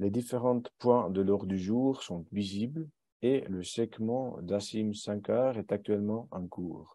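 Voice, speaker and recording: A man speaks very slowly in a fairly low pitch. His tone is dark and mellow. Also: ordinary pitch variation, quiet background. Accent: non-native. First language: German (speaking French). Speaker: company co-founder and director presenting software. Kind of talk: webinar presentation with Q&A. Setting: online webinar. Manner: hesitant, many filler sounds.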